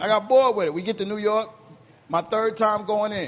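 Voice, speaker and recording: Here a man is talking. His pace is fairly quick. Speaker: comedian. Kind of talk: casual storytelling.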